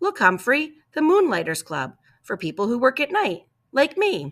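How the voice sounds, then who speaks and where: A put-on character voice, high-pitched with very wide pitch swings, on a very clean recording with a silent background. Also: moderate pace. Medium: read story. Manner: casual, easygoing.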